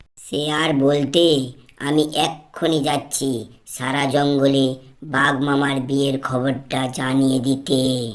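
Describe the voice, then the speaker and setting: A cartoonish character voice, raspy and low-to-middle in pitch, very slow, with monotone, flat intonation. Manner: naive, excitable.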